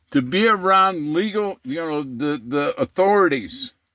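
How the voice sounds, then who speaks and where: A man's high, bright, sharp voice with an American accent, very slow pace and very wide pitch swings, dry and close with no echo. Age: 60s. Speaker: vlogger, retired truck driver. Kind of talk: casual rant to camera. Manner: animated; repetitive, stumbling.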